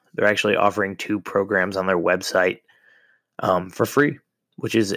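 A fairly low-pitched man on a very clean recording with a silent background. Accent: American. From Ohio. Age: 30s. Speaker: podcast host. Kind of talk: casual monologue. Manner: hesitant, many filler words.

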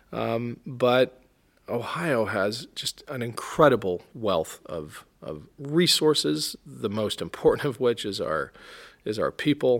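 Speaking at a very slow pace, a man uses a medium pitch with vocal fry and very wide pitch swings. The recording is very clean, with a silent background. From military family, grew up mostly in Europe. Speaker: congressional candidate, navy veteran. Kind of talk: interview. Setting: studio at a public library.

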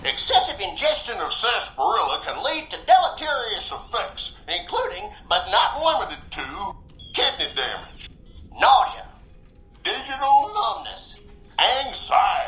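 A drawling put-on character voice at an extremely high pitch, moderate pace and very wide pitch swings, over light background noise. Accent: western US. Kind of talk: recorded mascot sales pitch. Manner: folksy drawling cowboy, cheery.

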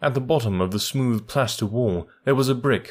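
A natural voice, reading aloud.

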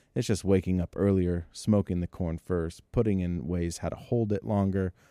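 A man with an American accent speaks at a moderate pace in a very deep, low voice with a dark, mellow tone, on a very clean recording with a silent background. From Northern California. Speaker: food truck owner. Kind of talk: casual chat.

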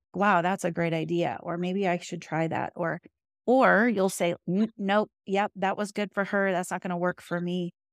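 A woman speaks in an ordinary speaking voice at a medium pitch and a moderate pace. Her intonation is fairly even, and the sound is dry and close, with no echo. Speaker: grief coach. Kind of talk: casual chat.

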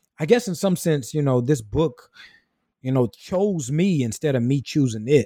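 A man's dark, mellow voice with a Southern US accent, at a moderate pace with ordinary pitch variation, on a very clean recording with a silent background and a dry, close sound with no echo. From rural South Carolina. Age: 20s. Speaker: minister, writer and theology student. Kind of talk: interview. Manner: halting, many repetitions and fillers.

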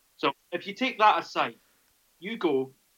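Using a Scottish accent, a man speaks with lively intonation at a moderate pace. His tone is bright and sharp. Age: 30s. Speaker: rugby journalist. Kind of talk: casual chat.

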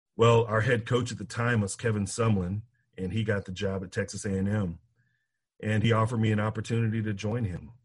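Somewhat breathy, fairly low-pitched speech from a man at a fairly quick pace, with monotone, flat intonation and a quiet background. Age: 40s. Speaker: college football player development director. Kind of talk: bible study teaching.

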